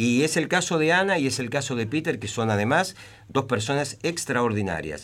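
Here a man speaks at medium pitch and moderate pace. His intonation is lively. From Temperley, Buenos Aires, Argentina. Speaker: journalist and playwright. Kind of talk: radio interview. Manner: halting.

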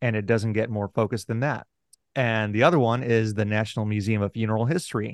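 A plain, everyday voice from a man, fairly low in pitch with fairly even intonation, dry and close with no echo, over a quiet background. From Houston, Texas. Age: 40s. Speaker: author and podcast host. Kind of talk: interview conversation.

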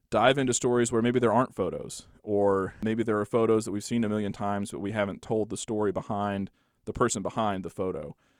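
In a Texan accent, a man speaks at a fairly quick pace in a fairly low pitch with fairly even intonation on a very clean recording with a silent background. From Texas Panhandle, Borger. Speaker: local history author. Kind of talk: interview.

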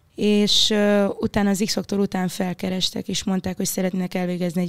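Recorded very cleanly against a silent background, a woman speaks at a medium pitch and a moderate pace. Her intonation is monotone and flat, and the sound is dry and close with no echo. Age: 20s. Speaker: singer. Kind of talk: casual chat.

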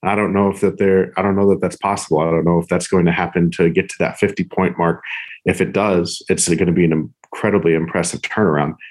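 In an American accent, a man with a very deep, low pitch talks at a very fast pace in a flat monotone. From California, Bay Area. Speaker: sports writer. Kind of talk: casual discussion.

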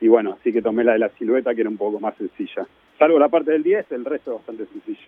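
Talking very rapidly, this man has a voice of middling pitch. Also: ordinary pitch variation. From Argentina, Mar del Plata. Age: 40s. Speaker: artist. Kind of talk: casual radio interview.

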